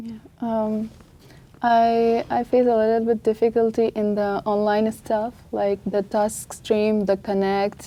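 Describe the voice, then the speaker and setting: A woman at a fairly high pitch, monotone and flat in intonation, at a very slow pace. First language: not English. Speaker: international student. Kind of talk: press conference answers.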